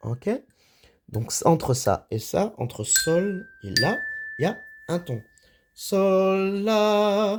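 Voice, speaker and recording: Taking long, frequent pauses, a man speaks at a very slow pace in a high pitch with lively intonation. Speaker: music teacher. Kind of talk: tutorial. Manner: halting.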